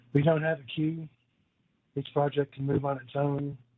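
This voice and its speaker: A man's monotone, flat intonation. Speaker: grid operator manager. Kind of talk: webinar presentation. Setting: webinar call. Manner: tends to speed up.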